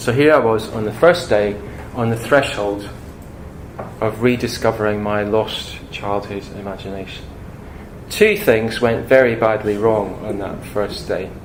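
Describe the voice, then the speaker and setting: A man's fairly low voice at a fairly slow pace, with fairly even intonation, noticeable background noise and audible room echo. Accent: Scottish. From Scotland. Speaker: speaker on imagination and psychology. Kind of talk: public talk. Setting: talk to an audience.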